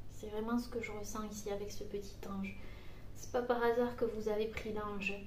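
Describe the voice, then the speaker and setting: A soft-spoken woman with a gentle tone talks at a moderate pace in a fairly high, flat monotone. Noticeable background noise and audible room echo surround her voice. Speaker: psychic medium doing card readings. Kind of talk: tarot card reading guidance. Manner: soft, gentle; hesitant, many fillers.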